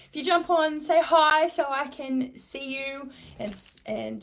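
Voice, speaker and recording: Speaking with an Australian accent, a woman keeps a fairly slow pace. Her pitch varies in an ordinary way. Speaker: business coach. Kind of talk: live stream talk. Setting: office, live video.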